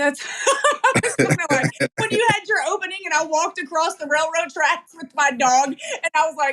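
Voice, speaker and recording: With a slight Southern US accent, a woman speaks at an extremely high pitch in an animated tone with lively intonation. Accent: slight Southern drawl. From East Tennessee (Knoxville). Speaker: podcast host. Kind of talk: casual interview chat.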